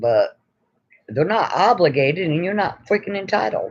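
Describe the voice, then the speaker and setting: A man is speaking. His pitch swings very widely. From New York. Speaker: YouTuber. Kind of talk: casual live stream chat. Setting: live stream.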